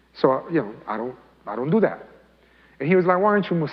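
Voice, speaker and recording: The voice belongs to a man. His speech carries a Spanish accent. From Colombia, raised in US from age eight. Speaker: imam. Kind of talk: talk to youth, personal testimony. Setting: mosque, youth audience. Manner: casual, conversational.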